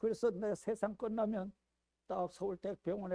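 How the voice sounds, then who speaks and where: A man talks at a fairly slow pace in a dark, mellow tone. The sound is dry and close, with no echo. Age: 80s+. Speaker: pastor. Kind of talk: sermon.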